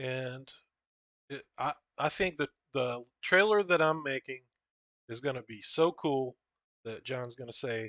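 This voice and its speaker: A man at medium pitch with a bright, sharp tone, ordinary pitch variation, big swings in loudness, a fairly slow pace and long, frequent pauses, in a dry, close sound with no echo over a quiet background. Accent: rural American. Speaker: comic book creator. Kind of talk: casual, profane.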